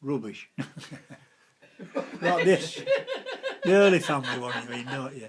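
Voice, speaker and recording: With a Lincolnshire accent, a man talks in a fairly high pitch with lively intonation. His loudness swings widely, and he takes long, frequent pauses. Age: 80s+. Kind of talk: interview answer. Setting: living room at home. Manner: conversational, reminiscing, hesitant.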